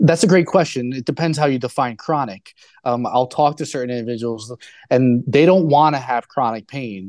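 This is a man with a normal speaking voice at medium pitch. His pitch varies in an ordinary way. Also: moderate pace, quiet background. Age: 30s. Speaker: rehabilitation doctor. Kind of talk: interview.

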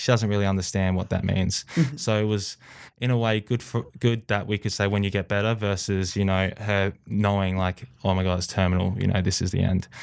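A man with an Australian accent speaks at a fairly quick pace and fairly low pitch, his intonation fairly even. His loudness stays very even in a very clean recording with a silent background. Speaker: athlete. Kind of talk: interview.

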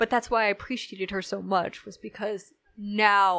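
A woman with an American accent, medium in pitch, bright and sharp in tone, with ordinary pitch variation over a quiet background. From United States. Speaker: historian and druid, podcast guest. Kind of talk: casual chat.

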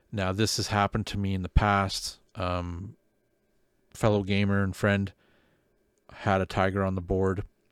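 Speaking with a Canadian accent in a fairly low, flat monotone, a man goes fairly slowly with long, frequent pauses in a very clean recording with a silent background. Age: 40s. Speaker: podcast host, wargaming hobbyist. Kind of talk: casual chat. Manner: laughs often.

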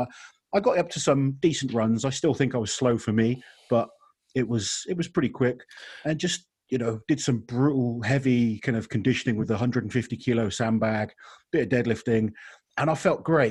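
Somewhat breathy, a man speaks at a medium pitch and a fairly quick pace with ordinary pitch variation. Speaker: podcast host. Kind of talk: casual chat.

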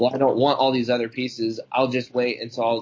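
Somewhat breathy, a man's voice at medium pitch moves along at a fairly quick pace. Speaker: fill-in co-host. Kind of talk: casual chat. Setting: studio.

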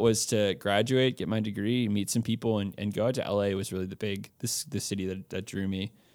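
A man with an American accent has a normal speaking voice, fairly low in pitch with fairly even intonation. He speaks at a fairly quick pace in a very clean recording with a silent background. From Texas, Austin. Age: 20s. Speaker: campus missionary. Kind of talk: casual interview.

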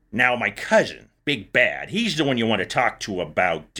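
Using a raspy put-on character voice, a man speaks at a medium pitch and a moderate pace. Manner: jovial.

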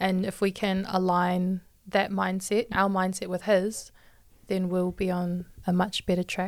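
A woman talks fairly slowly at a medium pitch, her intonation flat and monotone. The recording is very clean, with a silent background. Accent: New Zealand. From New Zealand, Hamilton. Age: 20s. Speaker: church youth podcaster, health worker. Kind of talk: casual faith discussion.

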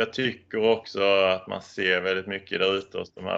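A man talks at a moderate speed against a quiet background. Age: 30s. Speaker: certification auditor. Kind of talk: interview.

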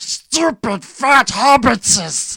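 A put-on character voice is pitched fairly high.

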